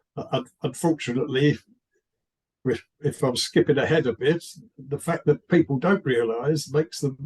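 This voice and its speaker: A somewhat breathy man with a British accent at a moderate pace. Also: dry, close sound with no echo. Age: 70s. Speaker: writer. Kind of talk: interview. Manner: halting, with many repeated words.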